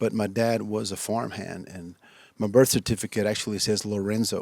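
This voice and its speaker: In a very clean recording with a silent background, a man talks at a moderate pace with a fairly low pitch and monotone, flat intonation. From West Texas (Lubbock area). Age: 60s. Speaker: musician. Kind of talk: interview. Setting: studio. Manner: halting, many fillers.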